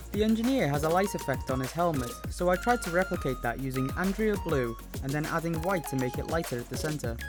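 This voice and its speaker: Mumbled speech at a very fast pace, with music in the background. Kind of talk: tutorial voice-over. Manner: occasionally mumbled.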